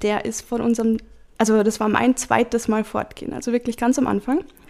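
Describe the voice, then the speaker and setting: With a normal speaking voice, a woman talks at a fairly quick pace, her fairly high pitch held to fairly even intonation. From Salzburg region, Austria (Hallein). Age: 20s. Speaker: diary slam participant. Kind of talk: reading aloud.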